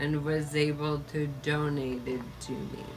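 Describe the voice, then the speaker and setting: A very slow pace amid noticeable background noise. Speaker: vlogger living with ALS. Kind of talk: personal video update.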